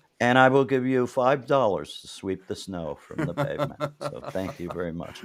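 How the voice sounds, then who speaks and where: Barely pausing, a man speaks at a medium pitch with big swings in loudness. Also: lively intonation, moderate pace. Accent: New York. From New York City, Manhattan. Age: 60s. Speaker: interview show host. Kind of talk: casual interview chat.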